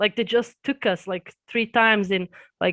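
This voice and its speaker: On a very clean, dry and close recording with no echo and a silent background, a woman with a Serbian accent speaks at a medium pitch and a moderate pace with ordinary pitch variation. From Serbia and Austria. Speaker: YouTuber. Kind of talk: interview. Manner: halting.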